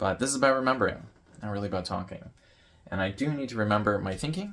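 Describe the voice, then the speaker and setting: A man's voice with ordinary pitch variation. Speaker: YouTuber vlogging about note-taking. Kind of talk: casual vlog presentation. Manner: loud; rambling, with filler words.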